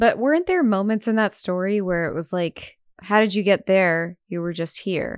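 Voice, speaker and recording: With an ordinary speaking voice, a woman talks at a medium pitch and moderate pace, with ordinary pitch variation. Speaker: podcast host. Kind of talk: casual chat.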